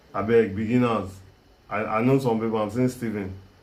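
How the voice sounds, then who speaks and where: Medium-pitched male speech with monotone, flat intonation and audible room echo. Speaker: filmmaking teacher. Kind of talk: live online class. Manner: halting.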